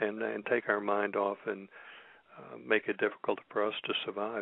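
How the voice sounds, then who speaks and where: A man speaks at a fairly quick pace in a fairly low voice, his intonation monotone and flat. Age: 70s. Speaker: radio co-host. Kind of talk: political talk radio.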